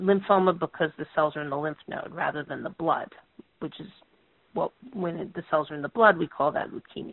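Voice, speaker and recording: In a plain, everyday voice, a woman with a fairly low pitch talks at a fairly quick pace with ordinary pitch variation. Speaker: oncologist, professor. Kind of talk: expert presentation and Q&A. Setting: phone conference.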